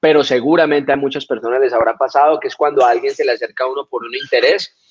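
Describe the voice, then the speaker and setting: A man talks at a very fast pace. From Colombia (Florencia, Caquetá). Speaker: reggaeton singer. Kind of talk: interview.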